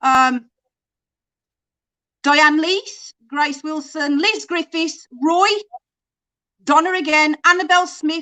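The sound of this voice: Recorded with a dry, close sound and no echo, a woman's raised, projected voice has an extremely high pitch and a bright, sharp tone, moving at a fairly slow pace with ordinary pitch variation.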